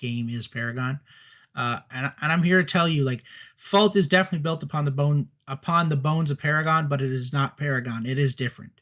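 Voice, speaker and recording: On a very clean recording with a silent background, a man talks very fast at a fairly high pitch with ordinary pitch variation. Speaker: talk show co-host. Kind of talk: live stream talk show. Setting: live stream.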